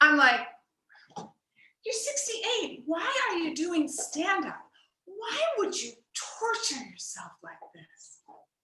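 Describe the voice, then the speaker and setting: A woman speaks very slowly in a raised, projected voice that is extremely high, bright and sharp, with very wide pitch swings and big swings in loudness. Room echo is audible. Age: 60s. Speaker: stand-up comedy student. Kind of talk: stand-up. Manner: animated.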